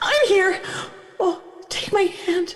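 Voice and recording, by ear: This put-on character voice has lively intonation. It moves at a slow pace. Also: woman, extremely high pitch for a woman.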